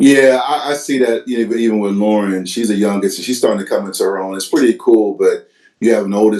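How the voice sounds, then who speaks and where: A man with an American accent, a fairly low pitch and a dark, mellow tone, at a fairly quick pace with hardly any pauses and ordinary pitch variation. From US, Virginia Hampton Roads. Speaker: podcast host. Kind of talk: casual interview.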